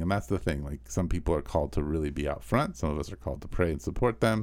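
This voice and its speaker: Vocal fry and a very deep, low pitch from a man with an American accent. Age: 50s. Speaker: pastor. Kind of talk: casual chat.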